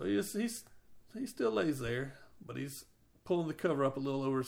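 The clip is plain reading aloud, and the intonation is lively.

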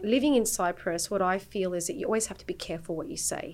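A woman with an Australian accent and a medium pitch. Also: very clean recording, silent background. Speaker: peace activist and mother. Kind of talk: casual chat. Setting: studio.

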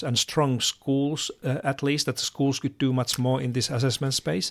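A man speaks at a moderate pace with a Finnish accent. His pitch is medium, and the recording is very clean with a silent background. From Finland. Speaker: education expert. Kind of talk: interview. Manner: halting.

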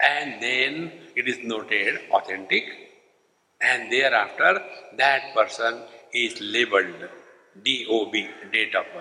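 With an Indian accent, a man talks at a very slow pace, leaving long, frequent pauses. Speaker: spiritual teacher. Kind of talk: spiritual lecture. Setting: stage with audience.

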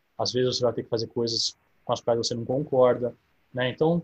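A man speaks in a somewhat breathy voice. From São Carlos, interior of São Paulo, Brazil. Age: 30s. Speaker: recently approved diplomatic exam candidate. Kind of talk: online Q&A talk.

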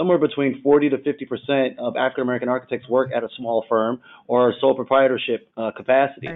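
A man with a plain, everyday voice, medium pitch, fairly even intonation and a fairly quick pace. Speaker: architect panelist. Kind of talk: panel discussion.

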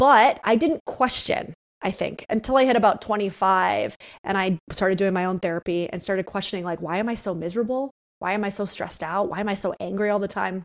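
With an American accent, a woman talks at a fairly quick pace and medium pitch with ordinary variation, her voice dry and close with no echo in a very clean recording with a silent background. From upstate New York. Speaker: psychotherapist and author. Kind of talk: interview conversation. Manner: blunt.

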